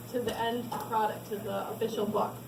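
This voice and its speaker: The background noise is noticeable. There is audible room echo. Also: woman. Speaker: author. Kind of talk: book launch talk. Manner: fast.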